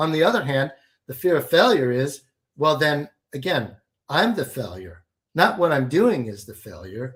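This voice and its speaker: Pitched fairly high with vocal fry, a man talks at a moderate pace, his pitch swinging very widely and his loudness shifting a lot. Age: 60s. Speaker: alchemy and business coach. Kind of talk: interview.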